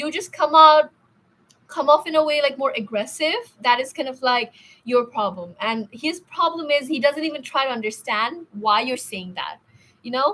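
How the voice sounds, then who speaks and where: A woman with a high pitch speaks in a raised, projected voice. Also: lively intonation, moderate pace. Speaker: tarot reader. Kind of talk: live stream tarot reading. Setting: live stream. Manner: stuttering a bit today; hesitant, filler-heavy.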